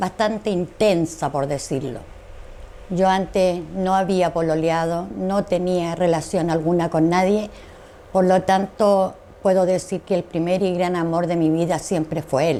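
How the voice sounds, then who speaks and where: At a very slow pace, a woman talks in a dark, mellow tone. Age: 60s. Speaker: dictatorship survivor. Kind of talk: interview testimony.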